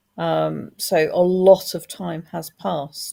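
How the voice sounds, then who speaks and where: The background is silent on this very clean recording. A woman is speaking. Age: 60s. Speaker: author and former people manager. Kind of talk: panel discussion. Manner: halting, many false starts.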